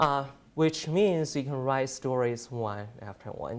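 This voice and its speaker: A medium-pitched man's voice in a Chinese accent, with ordinary pitch variation. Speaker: journalism student. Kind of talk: class presentation. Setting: presentation to an audience. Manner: halting, many fillers.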